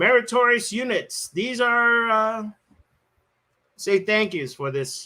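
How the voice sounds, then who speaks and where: A man's bright, sharp tone with very wide pitch swings. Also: very clean recording, silent background. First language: not English. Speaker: event host reading award lists. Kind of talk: awards ceremony livestream. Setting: live stream.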